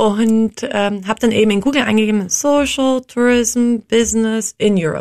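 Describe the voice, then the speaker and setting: A woman talks in an ordinary speaking voice, fairly high in pitch, with ordinary pitch variation at a moderate pace. The sound is dry and close, with no echo. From Austria. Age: 30s. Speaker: social entrepreneur, founder of a tour company. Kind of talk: interview.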